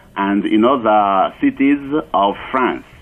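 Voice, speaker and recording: The pace here is very slow. It's a man, and his pitch moves in an ordinary way. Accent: French. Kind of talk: radio interview. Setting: phone call.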